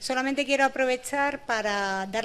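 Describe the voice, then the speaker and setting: Fairly quick speech from a woman, her intonation fairly even. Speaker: university vice-rector and professor. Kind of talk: short closing speech. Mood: warm, congratulatory. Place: hall. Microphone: podium.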